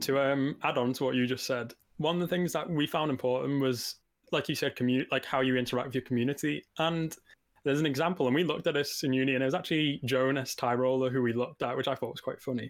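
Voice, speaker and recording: On a very clean recording with a silent background, a man with a Liverpool accent speaks at a very fast pace, medium pitch and fairly even intonation. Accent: Scouse. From Liverpool, England. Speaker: game design student and indie developer. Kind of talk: casual chat. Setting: live stream.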